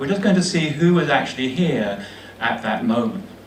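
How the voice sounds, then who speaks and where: Over noticeable background noise and audible room echo, a man with a British accent talks at a fairly quick pace, his pitch swinging very widely. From England, London (southeast London). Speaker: history professor. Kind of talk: lecture. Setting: meeting room with live audience.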